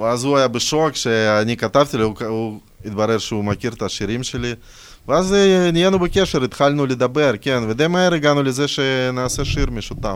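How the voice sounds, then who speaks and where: Speaking at a moderate pace, a man talks with a non-native accent. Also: medium pitch for a man, ordinary pitch variation. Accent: noticeable foreign accent in Hebrew. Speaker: rapper. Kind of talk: casual chat.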